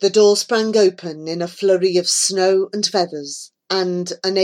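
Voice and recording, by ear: Against a quiet background, a person reads aloud in a natural voice, the intonation fairly even.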